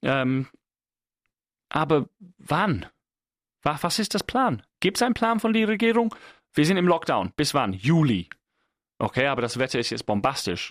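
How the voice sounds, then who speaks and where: Speaking at a fairly slow pace with long, frequent pauses, a man with a fairly high pitch makes very wide pitch swings, recorded very cleanly against a silent background with a dry, close sound and no echo. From England. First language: English (speaking German). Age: 30s. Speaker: podcast host. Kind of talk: solo monologue. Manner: halting.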